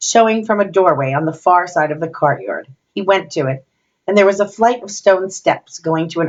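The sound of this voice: Over a quiet background, we hear an unforced reading voice.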